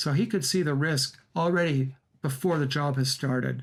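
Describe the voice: The speaker is a man with a fairly high pitch. His intonation stays fairly even.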